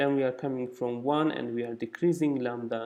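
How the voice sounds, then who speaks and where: A man speaks in a dark, mellow tone. His intonation stays fairly even. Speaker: physicist presenting research. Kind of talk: conference talk. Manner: halting, many fillers.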